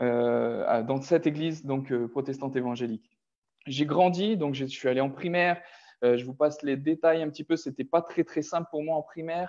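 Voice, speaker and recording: Against a quiet background, a man with a fairly high voice talks at a moderate pace, his pitch varying in an ordinary way. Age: 30s. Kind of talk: personal testimony. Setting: online video call. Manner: halting, many hesitations.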